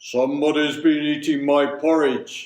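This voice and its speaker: In a put-on character voice, a man speaks at a moderate pace with fairly high pitch and a monotone, flat delivery. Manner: gruff, indignant.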